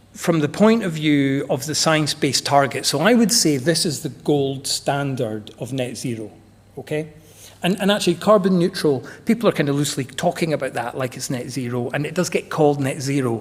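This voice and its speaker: A somewhat breathy voice with a slight Scottish accent, lively intonation and a moderate pace. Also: man, fairly high pitch for a man. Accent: slight Scottish lilt. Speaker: energy management consultant. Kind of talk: conference presentation. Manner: casual, animated.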